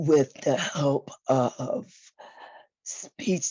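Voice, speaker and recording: Somewhat breathy, a woman speaks in a very deep, low voice. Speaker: voice disorder advocate. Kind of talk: testimony.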